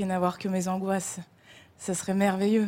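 A woman's dark, mellow tone at a medium pitch, delivered at a fairly slow pace. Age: 20s. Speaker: actress and writer. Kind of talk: televised interview. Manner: hesitant, repeating words.

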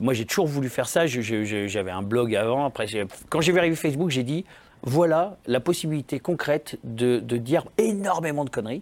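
A man with an unremarkable speaking voice talks at medium pitch and a moderate pace with lively intonation. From France, Saint-Étienne area (Lyon family). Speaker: comedian. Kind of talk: casual chat.

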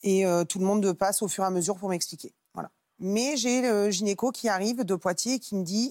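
At a fairly quick pace, a woman with a normal speaking voice talks at medium pitch. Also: ordinary pitch variation. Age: 30s. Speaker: mother sharing difficult pregnancy. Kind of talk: testimony.

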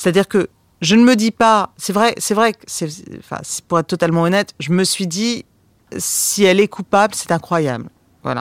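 The recording is very clean, with a silent background and a dry, close sound with no echo. A woman talks at a moderate pace with ordinary pitch variation. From France. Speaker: documentary filmmaker. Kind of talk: interview. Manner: hesitant, many fillers.

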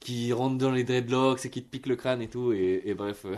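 A man's intonation stays fairly even as he talks in a quiet setting. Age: 30s. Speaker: singer and musician. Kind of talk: radio testimony. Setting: radio studio. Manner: halting, many repetitions and fillers.

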